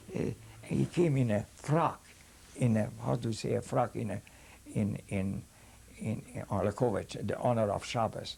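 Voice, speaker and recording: Fairly low-pitched man with a Hungarian accent, dark and mellow with vocal fry, lively intonation, moderate pace and long, frequent pauses. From Hungary. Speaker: rabbi and Holocaust survivor. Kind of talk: testimony. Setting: filmed interview. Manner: halting.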